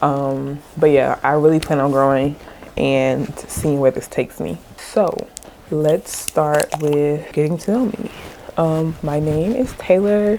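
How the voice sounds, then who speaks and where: This woman's voice is very deep and low in pitch. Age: 20s. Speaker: lifestyle vlogger. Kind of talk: casual get-ready-with-me chat.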